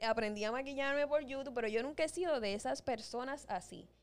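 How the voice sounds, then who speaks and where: Her voice is high in pitch with lively intonation, a woman speaking. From Dominican Republic. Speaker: podcast co-host. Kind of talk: casual chat. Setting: studio.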